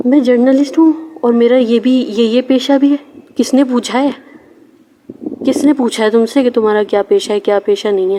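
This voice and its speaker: Over noticeable background noise, a woman's high voice holds very even loudness with ordinary pitch variation. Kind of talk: casual talk to camera, personal message. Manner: stammering.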